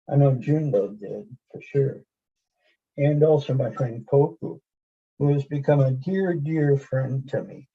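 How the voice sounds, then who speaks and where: A somewhat breathy, dark, mellow tone at a very slow pace. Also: man. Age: 70s. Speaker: lay Zen practitioner and poet. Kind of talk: personal testimony in group video chat.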